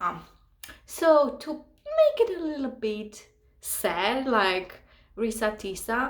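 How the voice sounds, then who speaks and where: A woman with a high pitch speaks at a very slow pace, using lively intonation and long, frequent pauses. Audible room echo surrounds her voice. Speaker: actress and model. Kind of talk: casual vlog monologue. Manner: animated.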